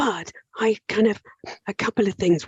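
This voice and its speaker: A woman's strained, breathy voice moves with ordinary pitch variation. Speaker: occupational psychologist. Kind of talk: coaching conversation with an attendee.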